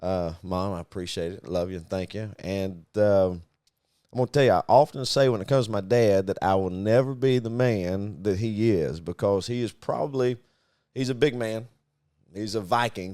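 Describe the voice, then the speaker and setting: A man speaks at a moderate pace in a fairly low pitch with a dark, mellow tone and ordinary pitch variation. The recording is very clean, with a silent background. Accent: Southern US. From US Deep South (Arkansas, Mississippi, Louisiana). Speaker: podcast co-host, business owner. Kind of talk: casual chat.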